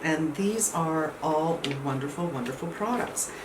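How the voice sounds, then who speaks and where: Amid noticeable background noise and audible room echo, a woman speaks at a fairly low pitch and fairly slow pace with ordinary pitch variation. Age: 60s. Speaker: beauty vlogger. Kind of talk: product review. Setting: home, no air conditioning. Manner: casual, conversational.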